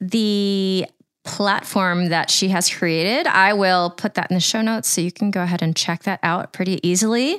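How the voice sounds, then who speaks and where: On a very clean recording with a silent background, a woman with a normal speaking voice talks at a moderate pace and medium pitch, her intonation fairly even and her loudness very even. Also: dry, close sound with no echo. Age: 40s. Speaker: aerial silks teacher and podcast host. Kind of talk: casual chat.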